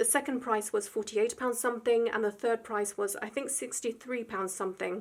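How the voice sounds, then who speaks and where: With a British accent, a woman speaks at a fairly quick pace and fairly high pitch, with hardly any pauses and fairly even intonation. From UK. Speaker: artist YouTuber. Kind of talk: unboxing video.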